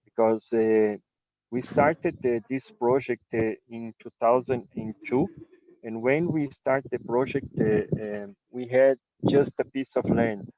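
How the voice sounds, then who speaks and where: A man with a Brazilian Portuguese accent, medium in pitch with ordinary pitch variation, at a fairly slow pace with big swings in loudness. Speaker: winery owner. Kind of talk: presentation. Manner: halting.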